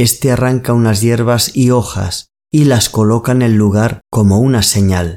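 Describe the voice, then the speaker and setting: This man has a medium pitch and a dark, mellow tone, with ordinary pitch variation at a fairly slow pace. The recording is very clean with a silent background. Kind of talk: ghost story narration. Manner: slow, hushed, suspenseful storytelling; measured, eerie, building tension.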